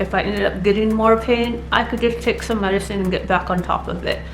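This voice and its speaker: A woman talks at a fairly quick pace over background music, with audible room echo. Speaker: vlogger sharing surgery recovery. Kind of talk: personal vlog talk. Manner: casual, with filler words.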